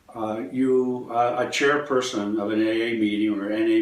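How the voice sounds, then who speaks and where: A man's voice with audible room echo. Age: 70s. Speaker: healer. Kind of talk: interview.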